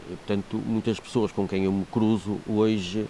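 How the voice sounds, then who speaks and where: A man's fairly low-pitched voice. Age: 60s. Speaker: local election candidate, archaeologist and professor. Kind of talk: TV interview. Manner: halting, many fillers and repetitions.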